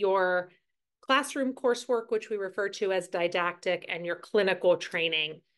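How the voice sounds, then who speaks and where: The background is quiet as a woman speaks at a moderate pace. Her medium pitch shows ordinary pitch variation. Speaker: nursing school clinical director. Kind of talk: online information session presentation. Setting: video call. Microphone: video call.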